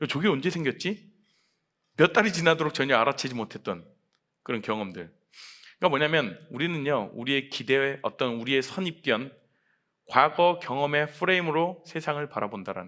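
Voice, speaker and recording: Talking at a fairly quick pace with long, frequent pauses, a man with a fairly high voice and a bright, sharp tone uses lively intonation and big swings in loudness, captured on a very clean recording with a silent background. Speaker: pastor. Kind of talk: sermon. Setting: church.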